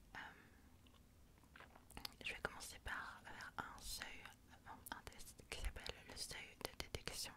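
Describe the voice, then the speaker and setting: A woman whispers. Her speech has long, frequent pauses. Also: fairly slow pace. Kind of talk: ASMR medical role-play, soft-spoken consultation. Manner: soft-spoken, whispering.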